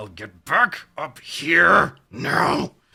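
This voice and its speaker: A man shouts in a put-on character voice. His pitch sits fairly high. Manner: shouting commanding.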